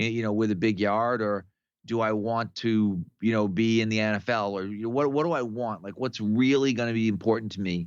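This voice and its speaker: With a normal speaking voice, a man speaks at a fairly quick pace with a fairly low pitch and fairly even intonation against a quiet background. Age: 60s. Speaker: strength coach. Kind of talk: casual podcast conversation.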